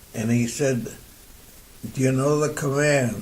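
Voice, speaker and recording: A man talks fairly slowly, his intonation fairly even, against noticeable background noise. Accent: American. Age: 80s+. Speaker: war veteran. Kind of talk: interview answer.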